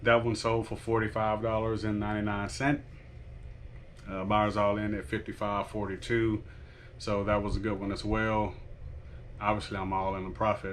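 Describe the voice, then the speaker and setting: Amid audible room echo, a man at a fairly low pitch talks at a moderate pace in a monotone, flat way, with long, frequent pauses. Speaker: online reseller vlogger. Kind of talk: casual vlog. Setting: at home. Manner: quiet, talking low.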